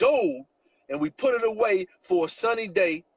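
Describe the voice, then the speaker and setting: A loud, animated male voice at a moderate pace, the sound dry and close with no echo. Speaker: network marketing promoter. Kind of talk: sales pitch. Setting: live stream.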